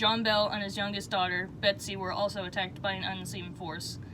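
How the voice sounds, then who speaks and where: Noticeable background noise runs behind a woman speaking. Her medium-pitched voice is monotone, with flat intonation. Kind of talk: sleep story.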